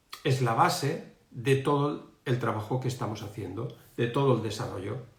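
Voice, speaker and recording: The voice is somewhat breathy and moves at a moderate pace with ordinary pitch variation. Audible room echo surrounds it. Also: man, medium pitch for a man. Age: 60s. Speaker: emotional education coach. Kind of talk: live stream talk. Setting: online live stream. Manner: halting, many fillers.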